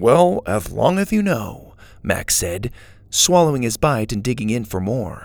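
Text read in a natural voice.

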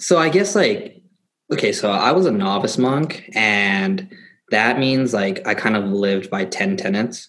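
With an unremarkable speaking voice, this man talks at a fairly low pitch and fairly slow pace, using lively intonation. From US, Thai-American family. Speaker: former novice monk, student. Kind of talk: casual interview.

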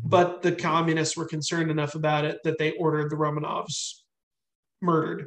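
This man has an American accent and a fairly high pitch. He talks at a fairly quick pace in a monotone, flat intonation. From US, army brat. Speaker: army veteran and novelist. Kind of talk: casual interview chat.

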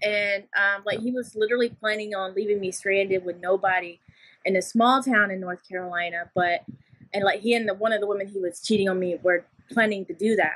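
In an American accent, the speaker has a normal speaking voice, a fairly quick pace and fairly even intonation. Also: woman, medium pitch for a woman. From Louisiana, Shreveport (US South). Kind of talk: interview. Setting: video interview.

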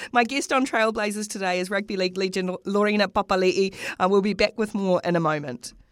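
A woman with a New Zealand accent speaks at a very fast pace. Her pitch sits in the medium range. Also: ordinary pitch variation. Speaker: sports podcast host. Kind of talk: interview. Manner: repeats words, chatty.

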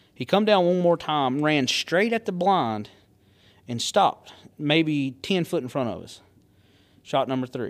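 On a very clean recording with a silent background, a man with a Southern US accent and a fairly high pitch speaks at a fairly slow pace, his intonation lively and his pauses long and frequent. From US South. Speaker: hunter and angler. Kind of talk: casual chat.

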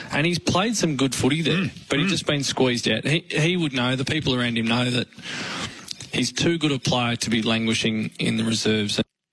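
With an Australian accent, a man speaks at a medium pitch over noticeable background noise. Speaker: football commentator. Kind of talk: radio discussion.

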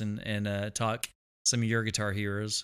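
A man speaks in a Texan accent with a bright, sharp tone. The recording is very clean, with a silent background. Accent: Texan drawl. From Texas. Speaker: guitarist. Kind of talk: casual chat.

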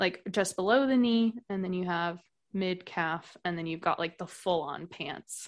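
A woman's ordinary speaking voice with an American accent. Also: quiet background. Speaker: podcast guest, expat. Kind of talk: casual chat.

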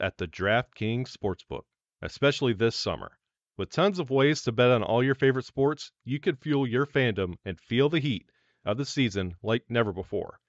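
A man speaks in a normal speaking voice at a medium pitch, moving at a moderate pace with lively intonation. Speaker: podcast host. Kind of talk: casual podcast chat.

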